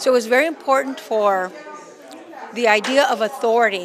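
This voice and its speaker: A woman speaks loudly in a high voice with ordinary pitch variation, her words carrying audible room echo over crowd noise in the background. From El Paso, Texas. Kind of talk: interview.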